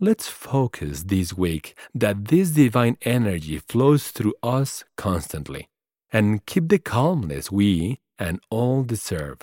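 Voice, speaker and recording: In a very clean recording with a silent background and a dry, close sound with no echo, a man with a non-native accent speaks very slowly at a fairly low pitch, his tone warm, dark and mellow, with very wide pitch swings. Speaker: podcast host. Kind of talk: solo podcast monologue, reflective and inspirational. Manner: warm, encouraging, earnest.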